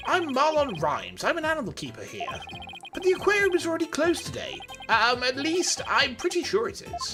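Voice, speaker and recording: A high, put-on character voice talks at a fairly quick pace. Music plays clearly in the background. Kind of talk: posh.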